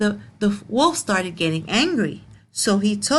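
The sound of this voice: The intonation rises and falls in a lively way. It comes in an unforced reading voice.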